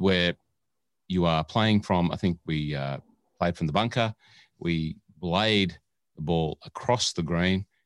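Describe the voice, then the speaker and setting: Taking long, frequent pauses, a man with an Australian accent speaks at a fairly slow pace in a very deep, low pitch with ordinary pitch variation, the sound dry and close with no echo. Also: very clean recording, silent background. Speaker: podcast co-host and producer. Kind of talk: casual chat. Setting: studio. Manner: animated.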